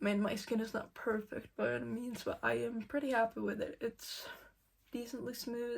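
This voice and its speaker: A woman talks at a moderate pace with a slight non-native accent. Her pitch is fairly high. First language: not English. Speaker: beauty vlogger. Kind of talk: makeup tutorial. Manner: casual, filler-heavy.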